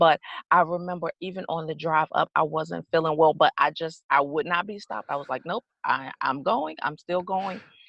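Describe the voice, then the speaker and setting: A woman with an American accent speaks in a very deep, low voice with ordinary pitch variation. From US South (Georgia). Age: 40s. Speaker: guest sharing life story. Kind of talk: interview testimony. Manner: animated.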